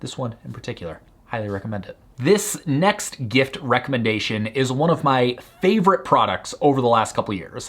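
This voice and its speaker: The voice has an animated tone, very wide pitch swings and big swings in loudness. Its pace is fairly quick. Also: man, medium pitch for a man. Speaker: online business founder and YouTuber. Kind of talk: product recommendation video. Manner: fast.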